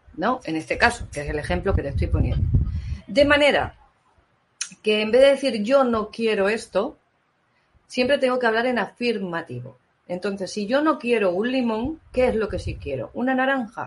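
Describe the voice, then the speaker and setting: A woman speaks with lively intonation. She takes long, frequent pauses. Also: fairly high pitch for a woman, moderate pace. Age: 50s. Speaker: therapist. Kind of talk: live-stream talk and Q&A.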